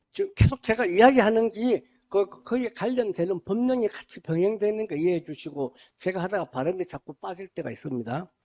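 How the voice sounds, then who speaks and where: Loudness swings widely as a man with a high pitch and a dark, mellow tone talks at a fairly quick pace with lively intonation, in a dry, close sound with no echo. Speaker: administrative agent lecturer. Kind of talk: lecture. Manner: casual, conversational.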